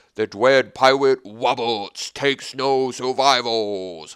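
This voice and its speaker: Using a put-on character voice, a man sounds booming at medium pitch. He goes at a fairly slow pace. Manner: slurred, booming delivery.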